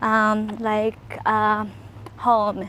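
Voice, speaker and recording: A woman speaks with a Japanese accent. Noticeable background noise runs beneath her. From Japan, rural area near Nagoya. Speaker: podcaster. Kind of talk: casual monologue. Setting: outdoors, walking. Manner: halting.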